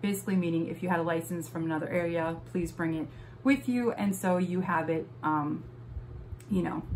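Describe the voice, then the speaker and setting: A woman with an American accent speaks at a fairly quick pace and a fairly low pitch with lively intonation, amid noticeable background noise and audible room echo. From Wisconsin. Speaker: vlogger. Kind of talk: casual vlog tutorial. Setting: home office. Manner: hesitant, many fillers.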